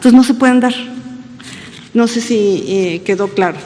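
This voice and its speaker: Noticeable background noise can be heard. Over it, a woman talks with ordinary pitch variation. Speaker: government official. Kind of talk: press conference answers. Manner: halting, many fillers.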